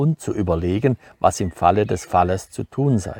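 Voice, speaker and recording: A man speaks in a plain, everyday voice at fairly low pitch and a moderate pace. The sound is dry and close, with no echo. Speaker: author, farmer. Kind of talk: book reading.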